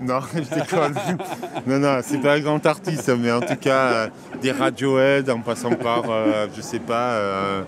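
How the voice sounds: Faint background noise sits under a man speaking at a medium pitch and a fairly slow pace with fairly even intonation.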